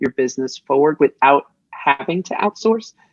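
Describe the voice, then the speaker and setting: A woman with a very deep, low pitch talks at a fairly quick pace, the sound dry and close with no echo. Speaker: digital marketing entrepreneur. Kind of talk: podcast interview. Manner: fast.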